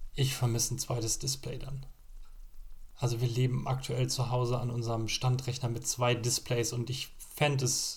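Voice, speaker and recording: A man speaks at a medium pitch and a moderate pace. His intonation is monotone and flat, with vocal fry. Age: 30s. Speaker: tech podcast co-host, former Apple retail specialist. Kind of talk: casual chat.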